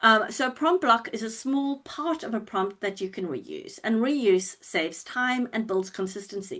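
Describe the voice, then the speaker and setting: Over a quiet background, a woman with a fairly high pitch talks at a moderate pace with very wide pitch swings and hardly any pauses. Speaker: presenter on plain language writing. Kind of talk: online presentation. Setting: online webinar. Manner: hesitant with fillers.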